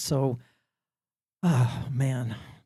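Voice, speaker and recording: A man with a Canadian accent sounds somewhat breathy, with a dark, mellow tone. His pitch variation is ordinary. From Saskatchewan, Canada. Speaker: community elder, panelist. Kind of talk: panel discussion. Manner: pitch goes up and down.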